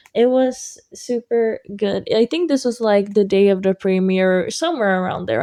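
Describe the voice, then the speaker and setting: The background is quiet. A woman's dark, mellow voice sits at a medium pitch. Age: 18. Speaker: student and singer vlogger. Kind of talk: voiceover vlog narration. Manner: casual, filler-heavy.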